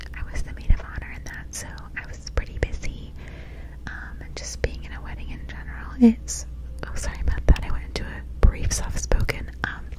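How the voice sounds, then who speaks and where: A woman's very deep, low voice at a fairly quick pace, monotone and flat, dry with no echo, over noticeable background noise. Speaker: ASMR creator. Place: home room. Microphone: studio mic.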